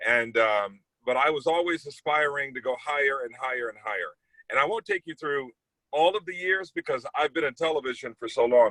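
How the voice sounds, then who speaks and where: In an American accent, a man with an unremarkable speaking voice talks fairly quickly at a fairly high pitch with ordinary pitch variation. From US Midwest, East St. Louis, Illinois. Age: 40s. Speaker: TV news anchor. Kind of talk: casual talk to students about his career. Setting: video call.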